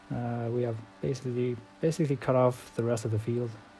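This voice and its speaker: A man with a non-native accent talks at a moderate pace, his medium-pitched tone dark and mellow. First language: not English. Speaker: sim racing gamer. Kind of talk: gameplay commentary. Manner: halting.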